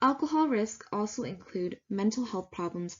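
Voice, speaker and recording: Somewhat breathy speech from a woman at a moderate pace. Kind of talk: slide presentation narration.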